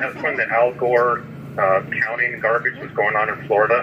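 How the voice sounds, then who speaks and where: This is a man with a medium pitch. There is noticeable background noise behind him. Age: 60s. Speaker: army veteran and author calling from jail. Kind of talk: phone interview. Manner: halting with repetitions.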